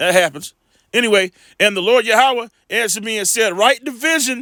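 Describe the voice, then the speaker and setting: A man with a high pitch projects his raised voice in a bright, sharp tone with ordinary pitch variation, the sound dry and close with no echo in a very clean recording with a silent background. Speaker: religious commentator. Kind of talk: casual monologue; reading aloud. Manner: halting.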